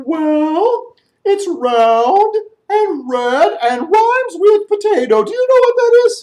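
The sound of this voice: In a put-on character voice, a man talks at a fairly slow pace, extremely high in pitch with very wide pitch swings.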